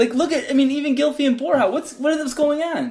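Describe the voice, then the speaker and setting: Delivered at a fairly quick pace, the speech has an American accent and ordinary pitch variation. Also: man. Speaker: football podcast co-host. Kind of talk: casual chat.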